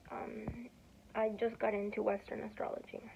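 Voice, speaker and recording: Moderate pacing from a woman amid noticeable background noise. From Peru (Lima). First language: Spanish. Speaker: student vlogger. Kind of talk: casual vlog talk. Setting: dorm room. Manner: rambling with many fillers and self-corrections.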